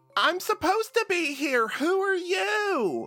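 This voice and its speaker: A put-on character voice, female-sounding and extremely high-pitched, at a fairly slow pace over music in the background. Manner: defensive.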